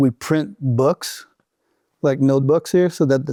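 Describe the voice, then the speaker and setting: Speaking in a Quebec accent, a man uses a medium pitch, a dark, mellow tone, ordinary pitch variation and a moderate pace, in a very clean recording with a silent background and a dry, close sound with no echo. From Quebec City, Canada. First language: French. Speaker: outdoor business founder, former mountain guide. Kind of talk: podcast interview.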